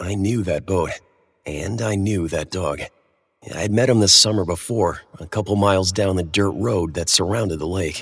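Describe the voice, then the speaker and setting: This man has a very deep, low voice, somewhat breathy, at a moderate pace. His pitch varies in an ordinary way, and the recording is very clean with a silent background. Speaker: audio drama narrator. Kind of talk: ghost story telling, first-person horror narration. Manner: vivid, hushed, suspenseful storytelling that builds tension.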